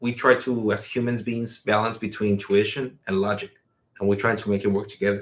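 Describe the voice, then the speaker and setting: A man talks with a Spanish accent at a moderate pace. His intonation is monotone and flat. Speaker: podcast co-host. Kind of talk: casual chat. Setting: live stream.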